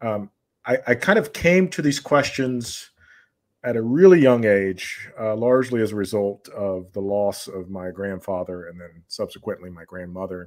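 In an American accent, a man with a plain, everyday voice and a fairly low pitch talks at a moderate pace, his intonation lively and his loudness swinging widely. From US South, Georgia. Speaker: philosophy and history educator. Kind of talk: casual chat. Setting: video call.

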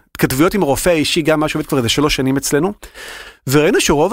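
A man speaks very fast with a fairly high pitch. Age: 40s. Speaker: health-tech innovation manager. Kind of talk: interview.

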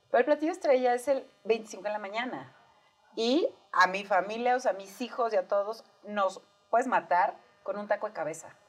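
A woman talks at a moderate pace in a plain, everyday voice. Her pitch is fairly high, with lively intonation. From Mexico, Sonora. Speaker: podcast co-host. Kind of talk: casual chat.

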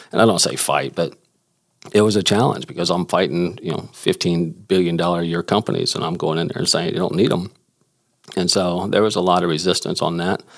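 A man's very deep, low voice with an American accent, fairly even intonation and a fairly quick pace. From Houston, Texas. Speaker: inventor. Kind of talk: interview conversation.

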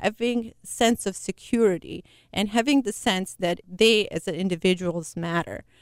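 A woman talks at a fairly slow pace with lively intonation. The sound is dry and close, with no echo. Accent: non-native. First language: not English. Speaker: nonprofit founder. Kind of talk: interview. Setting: studio.

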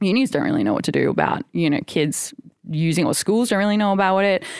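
A woman with an Australian accent at a very fast pace, with lively intonation and vocal fry. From Australia, Sunshine Coast. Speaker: artist and technologist. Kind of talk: casual chat.

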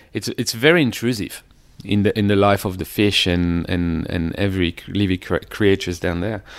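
A man with a French accent and fairly low pitch talks at a moderate pace with ordinary pitch variation, in a very clean recording with a silent background. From Paris suburbs, France. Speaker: underwater photographer. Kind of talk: interview conversation. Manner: halting, hesitant.

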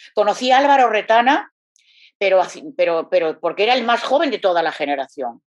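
A woman's medium-pitched voice at a fairly quick pace, with very wide pitch swings. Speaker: singer. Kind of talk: interview. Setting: at home.

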